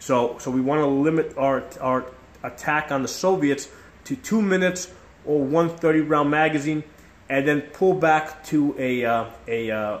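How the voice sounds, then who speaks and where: Ordinary pitch variation in a man's speech. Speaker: tactics instructor. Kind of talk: tutorial. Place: kitchen. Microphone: phone near.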